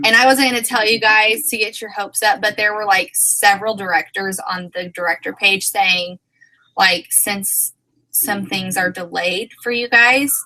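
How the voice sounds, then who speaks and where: With an American accent, a woman in a normal speaking voice talks at a moderate pace and medium pitch, using ordinary pitch variation. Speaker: direct sales team leader. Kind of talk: team meeting livestream. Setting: video livestream. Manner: casual, rambling.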